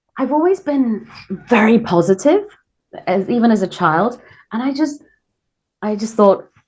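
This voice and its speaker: Somewhat breathy and fairly high-pitched, a woman talks at a moderate pace with lively intonation and long, frequent pauses. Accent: British. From England, then Korea from teens. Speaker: radio host. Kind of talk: interview. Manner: hesitant, many fillers.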